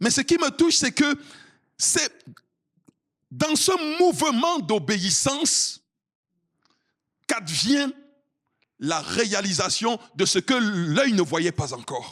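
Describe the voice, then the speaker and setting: Loud and very slow, a man speaks with very wide pitch swings and long, frequent pauses. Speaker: pastor. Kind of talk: sermon.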